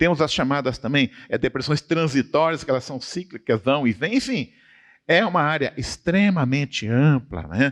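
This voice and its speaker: With a plain, everyday voice, a man speaks at a fairly high pitch and a moderate pace with lively intonation, in a dry, close sound with no echo against a quiet background. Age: 60s. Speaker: professor. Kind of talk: church study conversation. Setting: church.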